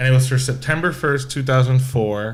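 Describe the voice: This man speaks at a moderate pace, his medium pitch showing ordinary pitch variation.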